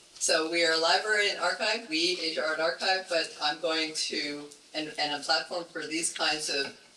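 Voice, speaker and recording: The speaker is a man with a high voice. Background noise can be clearly heard. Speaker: arts archive chair. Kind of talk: event welcome speech. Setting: event room with audience. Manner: halting.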